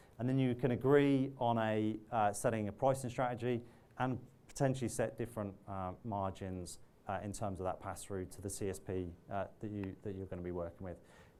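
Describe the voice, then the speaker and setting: Over audible room echo, a man talks at a fairly quick pace, his fairly low pitch moving with ordinary variation. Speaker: technology partner manager. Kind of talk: conference keynote talk. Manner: fast; halting, many false starts.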